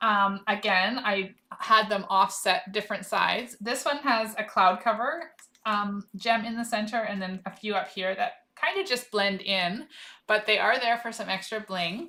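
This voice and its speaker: A woman's fairly high voice carries ordinary pitch variation as she talks at a moderate speed. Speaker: craft demonstrator. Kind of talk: live craft tutorial. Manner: casual, self-talking.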